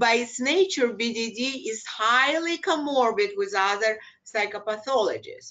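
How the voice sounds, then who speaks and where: Speaking fairly slowly in a Russian accent, a woman uses lively intonation at a fairly high pitch. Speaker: clinical psychologist. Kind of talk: lecture. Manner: halting.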